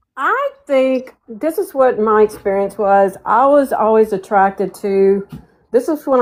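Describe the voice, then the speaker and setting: At a moderate pace, a woman with an unremarkable speaking voice talks at a fairly high pitch. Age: 60s. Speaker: panel participant. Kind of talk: casual chat.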